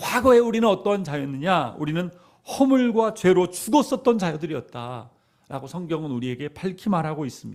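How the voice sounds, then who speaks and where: This man's voice sits high in pitch and swings very widely up and down. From South Korea, Jeolla (Yeonggwang), later Seoul. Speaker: pastor. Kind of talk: sermon.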